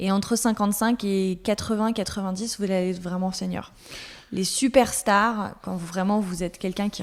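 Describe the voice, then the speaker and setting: With fairly even intonation, a woman of medium pitch speaks at a moderate pace. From France, Alsace (Colmar). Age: 30s. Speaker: content manager. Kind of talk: interview. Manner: many hesitations (euh).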